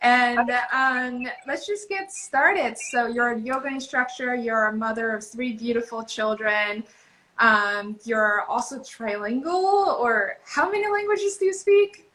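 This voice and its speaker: Speaking at a fairly slow pace in a Japanese accent, a woman with a high pitch lets her voice swing very widely in pitch. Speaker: podcast host. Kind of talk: interview. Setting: video call.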